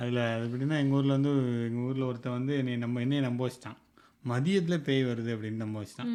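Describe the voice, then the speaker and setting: Using an unremarkable speaking voice, a man holds a medium pitch and keeps his intonation fairly even. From Tirunelveli, Tamil Nadu. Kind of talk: casual podcast conversation, storytelling.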